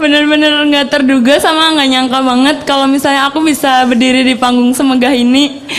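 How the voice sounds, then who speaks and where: Fairly quick and with hardly any pauses, a woman speaks at a high pitch in a monotone, flat intonation at very even loudness. Audible room echo and noticeable background noise fill the recording. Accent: Banyumas. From Indonesia, Cilacap (Central Java). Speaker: idol group member. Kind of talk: acceptance speech. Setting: stage with audience.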